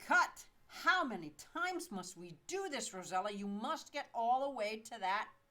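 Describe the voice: Nothing but plain reading aloud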